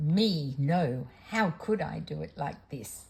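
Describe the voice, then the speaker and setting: A growling, put-on character voice at a middle pitch and a very slow pace. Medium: read story.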